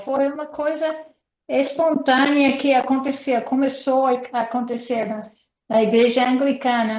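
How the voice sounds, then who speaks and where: A woman with an English accent speaks at a high pitch. Her pace is fairly slow. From United States. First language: English (speaking Portuguese). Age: 80s+. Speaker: missionary speaker. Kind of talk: online interview. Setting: video call.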